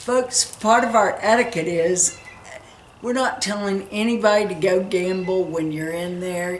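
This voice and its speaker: Noticeable background noise sits under a voice that moves at a fairly slow pace with ordinary pitch variation. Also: woman, medium pitch for a woman. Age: 60s. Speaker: RV travel vlogger, teacher. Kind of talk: casual trip-planning chat. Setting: back porch.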